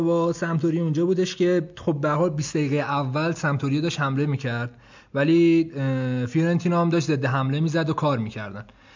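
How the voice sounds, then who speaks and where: A man speaks in a high voice. His pace is fairly quick. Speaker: football podcast co-host. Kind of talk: casual banter about football.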